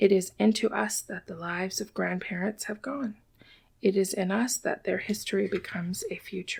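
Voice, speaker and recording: With vocal fry and fairly even intonation, the voice moves at a moderate pace while its loudness swings widely. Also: woman, medium pitch for a woman. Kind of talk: ASMR soft-spoken book reading. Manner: soft-spoken, relaxed.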